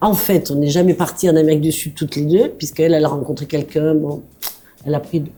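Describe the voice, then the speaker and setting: Words come out at a very fast pace. The intonation stays fairly even. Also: woman, very deep, low pitch for a woman. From southern France, Aveyron. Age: 70s. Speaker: bistro owner, former social worker. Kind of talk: interview.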